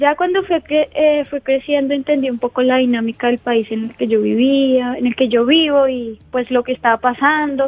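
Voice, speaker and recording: At a moderate pace and with hardly any pauses, a woman speaks in a high voice with fairly even intonation. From Colombia, Huila. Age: 20s. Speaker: displaced woman, sports school founder. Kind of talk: radio interview.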